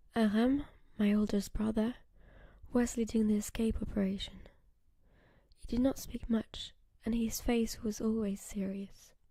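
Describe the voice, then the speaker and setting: Whispering and soft-spoken, a woman talks in a somewhat breathy voice at a fairly slow pace with long, frequent pauses. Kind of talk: ASMR short story reading, first-person narration. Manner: whispered, soft-spoken, relaxing.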